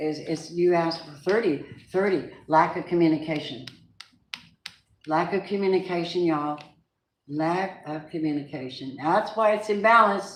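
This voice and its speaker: In a room with audible echo, a woman with a fairly low pitch and ordinary pitch variation speaks with long, frequent pauses. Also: moderate pace. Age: 70s. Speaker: tarot reader. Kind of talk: live tarot reading.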